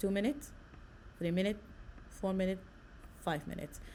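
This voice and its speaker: A woman with an Arabic accent speaks at medium pitch with a dark, mellow tone and vocal fry. Audible room echo surrounds her voice. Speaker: nursing lecturer. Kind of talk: lecture.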